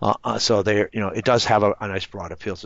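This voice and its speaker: A man talking at a very fast pace. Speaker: program coordinator training instructors. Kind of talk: online training session. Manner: casual, animated.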